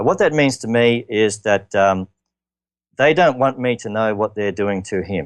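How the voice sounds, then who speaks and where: A man with an Australian accent speaks at a moderate pace, his fairly low voice moving with lively intonation. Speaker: interview guest, father in custody dispute. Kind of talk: radio interview. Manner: halting.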